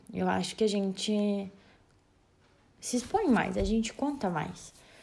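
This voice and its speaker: This woman has a medium-pitched, somewhat breathy voice. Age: 20s. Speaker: nursing student. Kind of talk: personal podcast monologue.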